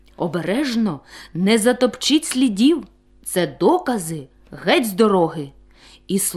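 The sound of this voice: An unforced reading voice with lively intonation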